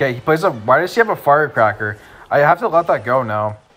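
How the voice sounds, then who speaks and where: A man speaks at a very fast pace in an animated tone with lively intonation. Noticeable background noise runs behind him. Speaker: gaming youtuber. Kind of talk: gameplay commentary. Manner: casual, animated.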